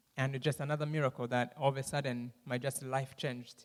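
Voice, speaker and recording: A man with a Rwandan accent at a fairly quick pace, on a very clean recording with a silent background. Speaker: guest speaker. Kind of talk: testimony with Q&A in church. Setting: church. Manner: fast when excited.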